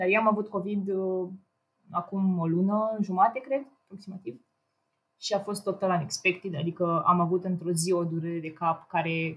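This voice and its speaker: The voice is somewhat breathy with fairly even intonation. It moves at a moderate pace. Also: woman, medium pitch for a woman. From Romania, Ploiești. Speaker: engineering student and programmer. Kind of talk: casual chat.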